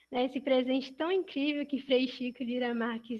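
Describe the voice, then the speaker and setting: Her intonation fairly even, a woman talks in a high pitch. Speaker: museum project intern. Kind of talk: prepared talk in video chat. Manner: soft-spoken.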